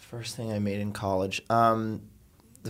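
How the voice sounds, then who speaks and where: Speaking with an American accent, a man has a plain, everyday voice at a fairly low pitch with ordinary pitch variation. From South Florida, suburbs of Miami. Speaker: filmmaker. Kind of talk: casual interview. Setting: studio.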